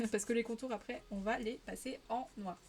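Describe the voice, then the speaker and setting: In a Parisian accent, the speaker holds a moderate pace with fairly even intonation. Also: woman. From Paris region, France. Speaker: streamer. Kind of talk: casual live-stream chat while colouring. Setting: live stream.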